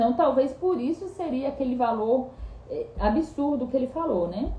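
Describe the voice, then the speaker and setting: With lively intonation and a high pitch, a woman speaks over noticeable background noise. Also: moderate pace. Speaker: bible teacher. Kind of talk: bible study reading and commentary. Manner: halting, self-correcting.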